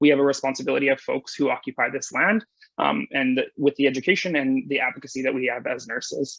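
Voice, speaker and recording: With a western Canadian accent, the speaker talks at a very fast pace. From British Columbia, Canada. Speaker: nurse, conference keynote speaker. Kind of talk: conference presentation.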